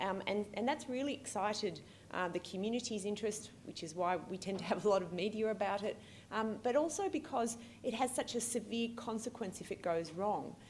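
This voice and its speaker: A woman with an Australian accent speaks at a fairly high pitch, somewhat breathy and with ordinary pitch variation, amid audible room echo. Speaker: pediatric allergist and researcher. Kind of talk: keynote lecture. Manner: fast; hesitant, many fillers.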